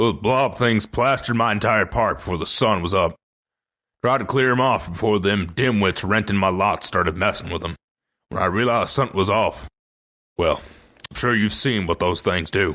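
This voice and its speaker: A man's drawling put-on character voice, fairly low in pitch with ordinary pitch variation, at a moderate pace. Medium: read story. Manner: folksy, plainspoken drawl with dropped letters.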